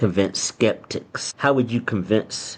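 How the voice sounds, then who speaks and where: Using an ordinary speaking voice, a man talks at a fairly low pitch with ordinary pitch variation. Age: 60s. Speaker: podcast host. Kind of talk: interview.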